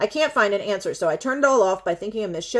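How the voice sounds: Someone reads in a natural reading voice. The intonation rises and falls in a lively way.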